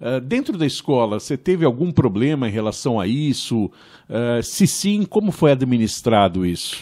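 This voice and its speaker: Against a quiet background, a man at a medium pitch talks at a moderate pace with hardly any pauses, a dark, mellow tone and very wide pitch swings. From Brazil, São Paulo. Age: 50s. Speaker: podcast host. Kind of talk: interview. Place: studio. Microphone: studio mic.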